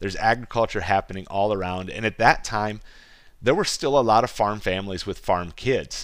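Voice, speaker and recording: On a very clean recording with a silent background, a man with a Midwestern US accent talks at a fairly quick pace and fairly low pitch, with ordinary pitch variation. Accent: US Midwest. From rural Iowa. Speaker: podcast host and goat farmer. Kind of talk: casual monologue.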